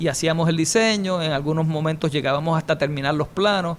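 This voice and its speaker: At a fairly quick pace, a man talks with a high pitch and fairly even intonation. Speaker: architect. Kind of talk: interview.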